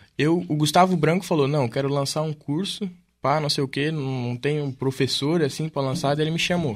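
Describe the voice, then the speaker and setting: This man has a normal speaking voice with a fairly high pitch. He moves at a moderate pace with ordinary pitch variation. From Camboriú, Santa Catarina, southern Brazil. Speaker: DJ and music producer. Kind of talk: casual chat.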